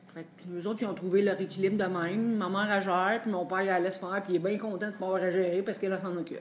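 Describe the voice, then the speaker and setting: A woman talks at a very fast pace with a medium pitch and monotone, flat intonation. Noticeable background noise runs underneath. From Quebec, Drummondville. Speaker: support group member sharing. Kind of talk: testimony.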